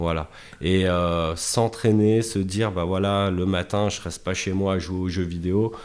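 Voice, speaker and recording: The speaker is a man with a very deep, low pitch. Fairly even intonation marks his delivery. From Chablais, Haute-Savoie, France. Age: 30s. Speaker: football freestyler. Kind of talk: casual interview.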